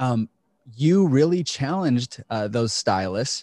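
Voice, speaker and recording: The recording is very clean, with a silent background. A man speaks in a plain, everyday voice at a medium pitch with lively intonation. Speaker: podcast host and coach. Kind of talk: casual interview chat.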